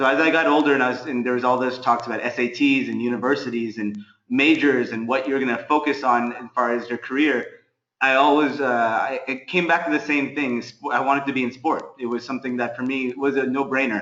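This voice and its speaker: A man talks at a fairly quick pace in an American accent, with a medium pitch. He has an ordinary speaking voice with fairly even intonation. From US West Coast, California. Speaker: sports management consultant. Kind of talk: webinar talk. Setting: online webinar. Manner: many fillers and false starts.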